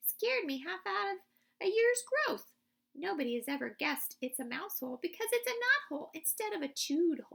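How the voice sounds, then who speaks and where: A woman's squeaky, put-on character voice at an extremely high pitch, with very wide pitch swings and a fairly quick pace. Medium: read story. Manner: eager, boyish.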